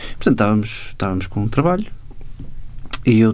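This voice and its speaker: A man's voice with lively intonation. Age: 40s. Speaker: cartoonist and illustrator. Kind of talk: interview.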